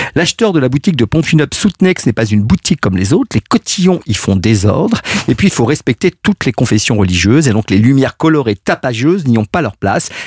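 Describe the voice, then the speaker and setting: Speaking at a very fast pace with hardly any pauses, a man at a medium pitch makes very wide pitch swings, sounds somewhat breathy, keeps a very even loudness, and is recorded with a dry, close sound with no echo. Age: 50s. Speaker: legal columnist. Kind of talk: radio chronicle.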